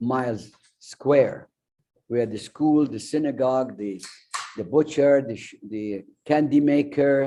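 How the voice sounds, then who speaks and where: A man with an Arabic accent speaks at a fairly slow pace. His voice is medium in pitch with a dark, mellow tone. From Iraq, Baghdad. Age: 90s. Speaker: refugee speaker and memoir author. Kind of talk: personal testimony talk. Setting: restaurant event streamed on Zoom.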